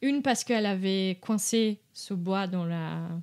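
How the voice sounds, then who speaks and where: A woman talks with a Portuguese accent. Her pitch varies in an ordinary way. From Brazil. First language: Portuguese (speaking French). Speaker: dog behaviour consultant. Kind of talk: podcast interview. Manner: halting, many hesitations.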